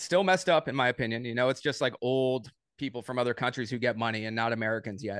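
Speaking at a very fast pace, a man with a medium pitch and ordinary pitch variation comes through with a dry, close sound with no echo. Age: 30s. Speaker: day trader, former pro soccer player. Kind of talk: casual interview.

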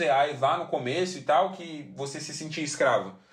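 At a fairly slow pace, a man speaks with a fairly high pitch, amid audible room echo and noticeable background noise. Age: 20s. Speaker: podcast host. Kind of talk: casual monologue. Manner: animated.

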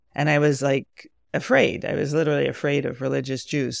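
A woman with an American accent, very deep and low in pitch with vocal fry, ordinary pitch variation and a moderate pace. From New York (Rockland County). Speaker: somatic healer and marriage coach. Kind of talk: personal testimony interview.

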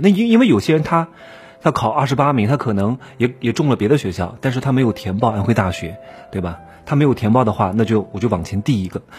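With music playing in the background, a man speaks very fast, his pitch swinging very widely. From Anhui, Wuhu (Yangtze Delta). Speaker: podcast host, career advice commentator. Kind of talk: casual advice monologue. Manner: animated.

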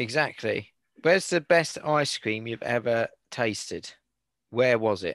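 Someone with a British accent speaks at a fairly slow pace with lively intonation, in a dry, close sound with no echo and a quiet background. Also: man, medium pitch for a man. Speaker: podcast host. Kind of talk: casual chat. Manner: joking, laughs often.

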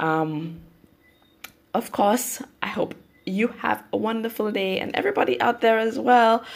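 A woman with a Saint Lucian accent and a fairly high voice, at a fairly slow pace with ordinary pitch variation and long, frequent pauses. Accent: St. Lucian English. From St. Lucia. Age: 30s. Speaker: YouTuber and mother. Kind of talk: interview. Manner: halting.

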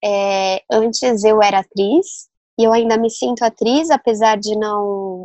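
The woman's voice sits at medium pitch with ordinary pitch variation, recorded dry and close with no echo. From Brazil, São Paulo. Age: young. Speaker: novelist. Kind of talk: interview. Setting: remote recording.

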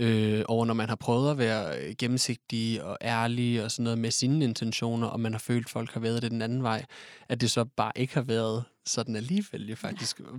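A man with an ordinary speaking voice talks at medium pitch and a moderate pace, with fairly even intonation. The very clean recording has a silent background and a dry, close sound with no echo. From Denmark, Odense. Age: 20s. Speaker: nursing care student. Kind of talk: casual chat.

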